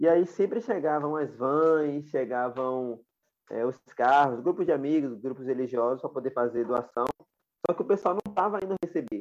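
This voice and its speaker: A man talks in a normal speaking voice, pitched fairly high. His pace is moderate and his intonation lively. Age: 20s. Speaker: social activist, founder of project for homeless people. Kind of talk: interview conversation.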